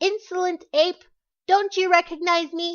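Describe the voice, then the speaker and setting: Her pitch is extremely high in this put-on character voice. The woman keeps a moderate tempo. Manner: shouting, harsh.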